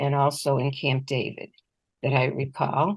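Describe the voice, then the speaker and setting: Moderately paced speech from a woman, with a quiet background. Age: 60s. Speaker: abuse survivor. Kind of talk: testimony.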